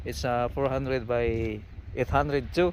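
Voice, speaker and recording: A man speaks with a Filipino accent. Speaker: construction worker vlogger. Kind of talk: casual vlog tutorial. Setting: outdoors on construction site. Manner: halting.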